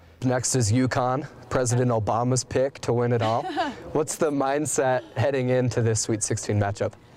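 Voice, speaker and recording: A man at a medium pitch and a moderate pace, with fairly even intonation over noticeable background noise. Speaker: sports reporter and anchor. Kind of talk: sports broadcast anchor and reporter delivery.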